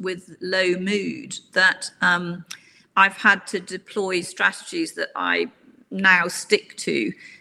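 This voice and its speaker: A woman speaks very slowly at a medium pitch with ordinary pitch variation. Her tone is bright and sharp, with vocal fry. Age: 60s. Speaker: executive coach. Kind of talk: interview.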